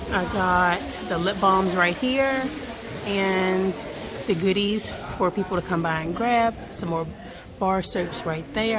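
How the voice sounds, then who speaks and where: A woman is whispering, with audible room echo. Noticeable background noise is present. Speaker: small business owner and vlogger. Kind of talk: casual vlog. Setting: indoor vendor event.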